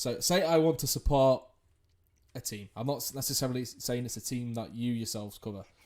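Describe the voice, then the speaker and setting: With an English accent, a man speaks at a fairly quick pace, his pitch medium and its variation ordinary. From England. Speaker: podcast host, esports journalist. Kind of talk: interview podcast.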